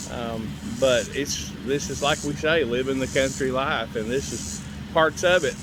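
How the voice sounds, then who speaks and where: A man's relaxed tone with ordinary pitch variation over noticeable background noise. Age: 60s. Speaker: farmer. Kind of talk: casual vlog talk. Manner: relaxed, hesitant with fillers.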